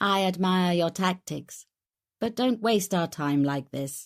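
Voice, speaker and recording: A robotic put-on character voice at a middle pitch and a fairly slow pace, on a very clean recording with a silent background. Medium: read story. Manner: controlled, intimate, menacing.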